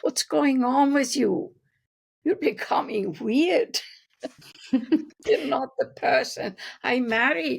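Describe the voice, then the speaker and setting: Very wide pitch swings and vocal fry mark a woman's speech, delivered at a very slow pace. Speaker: developmental psychologist. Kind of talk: interview answer.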